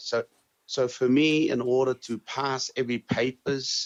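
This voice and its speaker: The intonation is fairly even. It is a man who is talking. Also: dry, close sound with no echo. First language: Tongan. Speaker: interviewee sharing life experience. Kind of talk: interview answers. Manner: halting, many fillers and repetitions.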